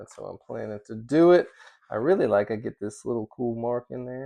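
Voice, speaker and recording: Against a quiet background, a man mumbles at a moderate pace. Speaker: leather crafter. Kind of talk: tutorial. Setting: workshop. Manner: mumbling; casual.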